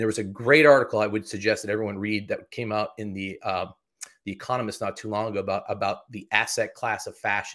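A man with an American accent talks at a very fast pace in an animated tone with a fairly low pitch. The recording is very clean, with a silent background. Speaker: executive of a dry cleaning certification agency. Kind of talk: interview.

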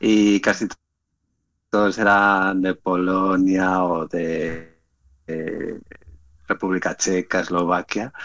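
Dry, close sound with no echo frames a monotone, flat voice at a very slow pace with long, frequent pauses. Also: man, very deep, low pitch for a man. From Spain. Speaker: startup founder. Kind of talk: casual chat.

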